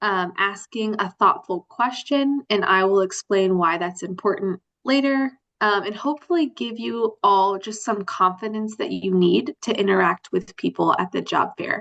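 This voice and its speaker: This is an ordinary speaking voice, a woman at medium pitch with lively intonation. She keeps a moderate pace, and the sound is dry and close with no echo. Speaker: adult literacy workshop presenter. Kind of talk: workshop presentation. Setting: video call.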